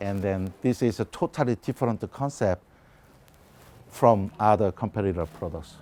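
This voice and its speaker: With a Korean accent, a man speaks at a moderate pace in a fairly low pitch. His tone is dark and mellow, and he leaves long, frequent pauses. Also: ordinary pitch variation. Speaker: biotech company CEO and scientist. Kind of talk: lecture. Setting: conference presentation. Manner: halting, many fillers.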